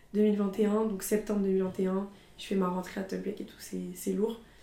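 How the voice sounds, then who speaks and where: Audible room echo surrounds a woman speaking very slowly at a medium pitch. Her tone is dark and mellow, her intonation monotone and flat. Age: 20s. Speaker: student and content creator. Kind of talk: casual chat.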